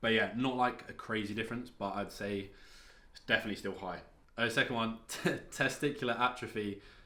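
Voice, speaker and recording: A man's bright, sharp tone comes through at a fairly quick pace, with audible room echo. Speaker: fitness vlogger. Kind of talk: casual vlog talk.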